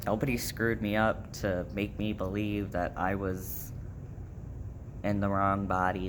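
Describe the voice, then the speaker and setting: Fairly even intonation is heard alongside audible room echo. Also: man. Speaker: vlogger. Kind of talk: casual vlog update. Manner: casual, many fillers.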